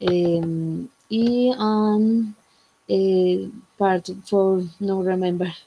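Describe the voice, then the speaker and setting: A woman with a Spanish accent speaks very slowly at a medium pitch. Her tone is dark and mellow, and her intonation stays fairly even. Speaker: English student. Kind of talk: class presentation. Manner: halting.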